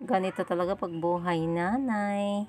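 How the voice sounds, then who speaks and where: This is a woman speaking at a medium pitch. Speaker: vlogger, mother. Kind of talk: casual vlog narration.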